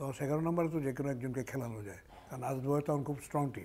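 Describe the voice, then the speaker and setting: A man's voice has a dark, mellow tone and fairly high pitch with ordinary pitch variation. Light background noise is present. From Bangladesh. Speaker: former cricket captain; former cricketer or coach. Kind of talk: interview. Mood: relaxed reminiscing. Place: home room. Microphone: lapel.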